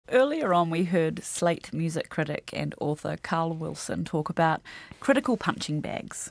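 The speaker has a New Zealand accent and a moderate pace. The recording is very clean, with a silent background. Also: woman. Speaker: radio podcast host. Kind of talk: casual chat.

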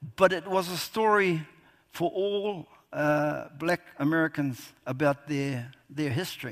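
This man's fairly high voice moves at a very slow pace, with ordinary variation in pitch. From New Zealand. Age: 60s. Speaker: historian and novelist. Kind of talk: festival author talk. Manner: halting.

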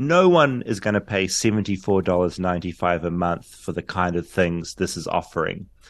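Hardly pausing, a man with a New Zealand accent and a very deep, low pitch talks at a fairly quick pace with ordinary pitch variation. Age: 40s. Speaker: journalist. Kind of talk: interview.

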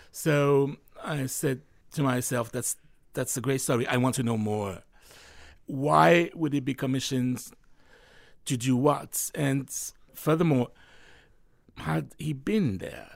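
Speaking in a French accent, a man talks fairly slowly at a medium pitch with lively intonation and long, frequent pauses. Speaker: novelist. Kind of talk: interview. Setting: studio.

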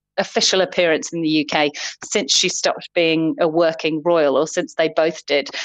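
A woman is speaking with a plain, everyday voice. She keeps a moderate pace. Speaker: UK correspondent reporting by call. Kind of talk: news correspondent report. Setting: remote link from the UK.

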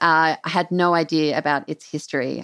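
In a very clean recording against a silent background, a woman speaks in a fairly low pitch with an Australian accent. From Sydney, Australia. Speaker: culture editor. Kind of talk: casual explanation.

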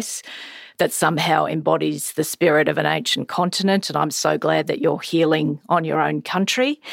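The speaker has an Australian accent and keeps to a moderate pace. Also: woman. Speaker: podcast host and political editor. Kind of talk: interview.

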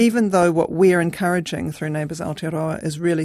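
A woman speaks with a New Zealand accent and vocal fry. Her intonation is fairly even, on a very clean recording with a silent background. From New Zealand, Christchurch. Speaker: community organiser. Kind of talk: radio interview. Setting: studio. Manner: hesitant, many fillers.

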